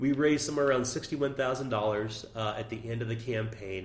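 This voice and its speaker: Audible room echo follows a man as he speaks at a very fast pace. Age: 40s. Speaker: tabletop game designer. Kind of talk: interview.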